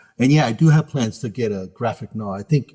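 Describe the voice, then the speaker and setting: The voice has a dark, mellow tone with an American accent. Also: man, very clean recording, silent background. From US West Coast, San Francisco Bay Area. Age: 60s. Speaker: author. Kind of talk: interview.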